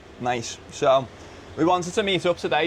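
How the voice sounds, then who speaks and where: Talking at a fairly quick pace, a man speaks with a Liverpool accent. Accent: Scouse (Liverpool). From England, Liverpool. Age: 20s. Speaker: podcast host, former teacher. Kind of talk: casual chat. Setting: in an office.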